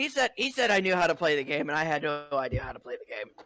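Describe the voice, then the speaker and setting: A put-on character voice, raspy and middle in pitch, rattles along at a very fast pace. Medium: actual play.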